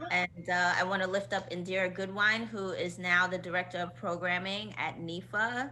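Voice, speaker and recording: Bright and sharp in tone with vocal fry, the voice moves at a moderate pace with lively intonation amid audible room echo. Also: woman. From Queens, New York. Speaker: choreographer and dance company director. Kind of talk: casual interview chat.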